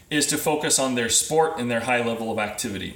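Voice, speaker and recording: There is audible room echo as a man talks with lively intonation at a moderate pace. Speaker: physical therapist consultant. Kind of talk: live video presentation. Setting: Facebook live video.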